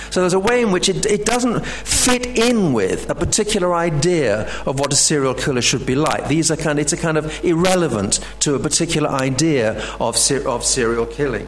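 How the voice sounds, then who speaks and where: Fairly quick and with hardly any pauses, a man speaks at a fairly high pitch with very wide swings, his loudness very even. Noticeable background noise runs underneath. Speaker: professor. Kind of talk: lecture. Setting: stage with audience.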